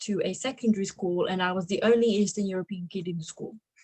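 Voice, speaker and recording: Fairly even intonation runs through this somewhat breathy voice. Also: woman. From Slovakia, raised in England from about age 10. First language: Slovak. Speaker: adviser and entrepreneur. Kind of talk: interview. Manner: casual, with fillers and restarts.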